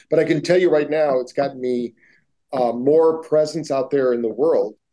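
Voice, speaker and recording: The background is quiet. A man speaks with a dark, mellow tone. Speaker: neuroscience-based wellness entrepreneur. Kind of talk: interview. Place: home room. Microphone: video call.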